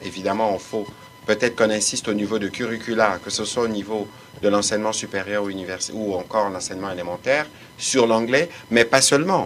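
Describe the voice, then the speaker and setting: A man talking at a fairly quick pace with music in the background. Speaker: government official. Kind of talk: press briefing. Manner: formal.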